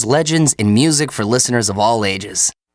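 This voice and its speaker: With music in the background, a man of medium pitch talks at a fairly quick pace with lively intonation. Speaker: radio host. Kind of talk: radio program introduction.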